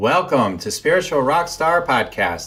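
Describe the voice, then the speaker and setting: Music plays in the background as a man talks in a lively intonation. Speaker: podcast host. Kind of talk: podcast intro read.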